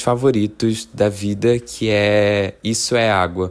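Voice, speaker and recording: The speaker has a Rio de Janeiro accent and fairly even intonation. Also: man. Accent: carioca. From Rio de Janeiro, Brazil. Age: 20s. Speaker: journalism student, listener. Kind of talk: recorded listener message. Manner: hesitant, with fillers.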